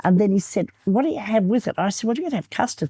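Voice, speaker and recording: In a dry, close sound with no echo and a very clean recording with a silent background, a somewhat breathy woman with a dark, mellow tone speaks at a fairly quick pace with very wide pitch swings. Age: 80s+. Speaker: real estate trainer. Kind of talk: interview.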